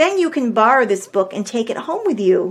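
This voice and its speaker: In a put-on character voice, a woman speaks at a fairly quick pace with very wide pitch swings. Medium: read story. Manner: kind.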